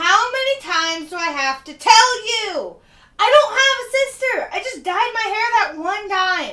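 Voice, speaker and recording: A put-on character voice moves at a moderate pace. Its pitch swings very widely and its loudness rises and falls sharply. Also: woman, extremely high pitch for a woman. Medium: comedy sketch. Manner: irritated.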